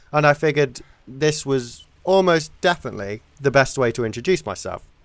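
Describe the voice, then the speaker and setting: Speaking at a moderate pace with an English accent, a man uses lively intonation at a fairly high pitch, on a very clean recording with a silent background. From England. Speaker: gaming commentator. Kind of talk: video game commentary. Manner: casual, halting with repetitions.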